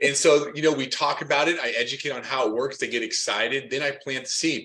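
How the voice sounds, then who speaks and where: A man with a fairly high pitch speaks at a very fast pace with fairly even intonation. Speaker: podcast host and loan officer trainer. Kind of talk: interview. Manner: stuttering.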